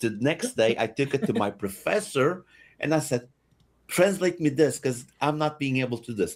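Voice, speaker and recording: With a Portuguese accent, a man speaks at a moderate pace in a fairly high pitch, his intonation lively. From Portugal. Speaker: podcast co-host, gamer. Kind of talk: casual chat. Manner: animated.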